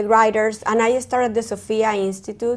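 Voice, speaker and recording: A woman's fairly high voice in a Spanish accent, monotone and flat, on a very clean recording with a silent background. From Colombia, Caribbean coast. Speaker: therapist. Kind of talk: interview. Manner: halting.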